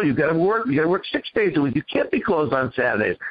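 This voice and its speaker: A man speaks with a Boston accent at a high pitch. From Boston area, New England. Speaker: business owner. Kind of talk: interview. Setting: radio show.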